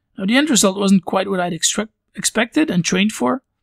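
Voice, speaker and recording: Very fast and high-pitched, a man with a Belgian accent talks with lively intonation in a dry, close sound with no echo. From Belgium, near Brussels. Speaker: podcast host. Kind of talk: podcast monologue.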